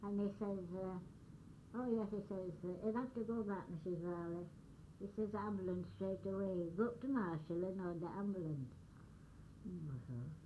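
A woman at a medium pitch, moderate pace, ordinary pitch variation, long and frequent pauses, and audible echo from the room. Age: 80s+. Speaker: elderly storyteller. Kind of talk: oral history storytelling.

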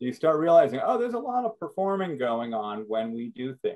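Lively intonation carries a slightly mellow tone. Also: man, medium pitch for a man, moderate pace.

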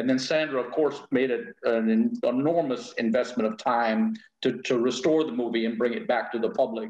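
Against a quiet background with audible room echo, the voice moves at a moderate pace with ordinary pitch variation. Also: man. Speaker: guest. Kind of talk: interview answer. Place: home room. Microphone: video call.

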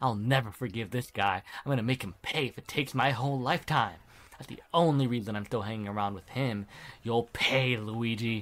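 A man uses a put-on character voice with a rumbling quality. He talks at a fairly quick pace and a medium pitch. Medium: game stream. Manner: resentful, grumbling.

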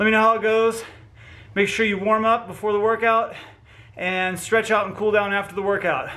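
A man speaks in a raised, projected voice with a bright, sharp tone, a moderate pace and monotone, flat intonation. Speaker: fitness instructor. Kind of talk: workout intro, casual vlog chat. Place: garage. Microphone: phone near.

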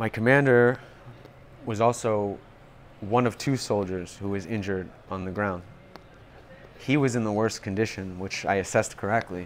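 With long, frequent pauses and light background noise, a man speaks in a New York accent at a fairly low pitch, a moderate pace and ordinary pitch variation. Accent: New York American. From US, Long Island, New York. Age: 30s. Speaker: wounded soldier and marketing executive. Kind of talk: interview. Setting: rehab center at a hospital. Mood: serious, reflective. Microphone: lapel.

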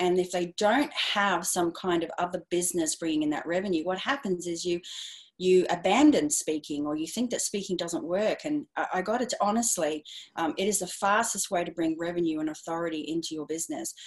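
A woman with an Australian accent and a fairly low pitch talks at a fairly quick pace in an enthusiastic tone. Her intonation is lively, and the background is quiet. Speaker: speaking and publicity coach; publicity coach. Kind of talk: interview. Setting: video call. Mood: earnest, passionate. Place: home room. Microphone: earbuds.

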